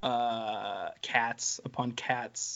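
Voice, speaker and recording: A man with flat, monotone intonation. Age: 30s. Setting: video call.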